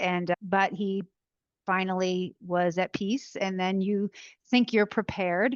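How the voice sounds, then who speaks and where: With an American accent, a woman speaks in an unremarkable speaking voice at medium pitch and a fairly slow pace, her intonation fairly even, the sound dry and close with no echo over a quiet background. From New Jersey. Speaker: author and caregiver. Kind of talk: emotional interview testimony.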